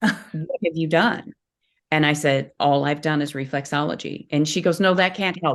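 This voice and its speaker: Her voice is very deep and low for a woman, delivered at a moderate pace with ordinary pitch variation. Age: 60s. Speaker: reflexologist. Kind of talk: interview. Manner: animated.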